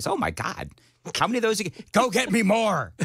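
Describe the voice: A man puts on a character voice, pitched high, and talks at a moderate pace.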